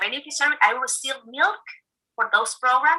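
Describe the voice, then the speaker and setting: With a Spanish accent, a woman projects a raised, high-pitched voice with a bright, sharp tone. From eastern El Salvador. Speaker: food aid program officer. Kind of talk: recorded video interview.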